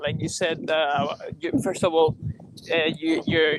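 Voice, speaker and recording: Someone with a Puerto Rican accent speaks at a moderate pace. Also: man. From Puerto Rico. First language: Spanish. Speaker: vegan debater, channel host. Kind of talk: friendly debate. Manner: halting, many fillers.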